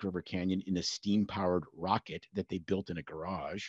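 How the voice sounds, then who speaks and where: Over a quiet background, a man with a fairly low pitch talks fairly quickly in an ordinary speaking voice. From Canada. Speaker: rural family doctor. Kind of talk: casual interview chat.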